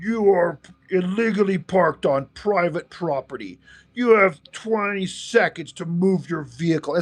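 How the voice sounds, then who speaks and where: A man puts on a character voice. It sits high in pitch and moves at a moderate pace. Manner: menacing, flat.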